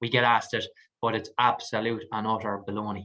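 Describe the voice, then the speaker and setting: Against a quiet background, a man with an Irish accent speaks at a fairly low pitch in a bright, sharp tone. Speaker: mortgage advisor. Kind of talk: webinar presentation with Q&A. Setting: online webinar. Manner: fast.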